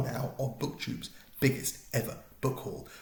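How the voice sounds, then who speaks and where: With a British accent, a man speaks in a somewhat breathy voice. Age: middle-aged. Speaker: BookTuber. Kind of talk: casual talk to camera.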